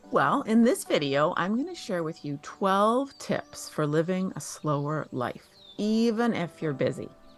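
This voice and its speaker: Woman at a fairly slow pace with very wide pitch swings, music in the background. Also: medium pitch for a woman. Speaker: lifestyle YouTuber. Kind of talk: tutorial.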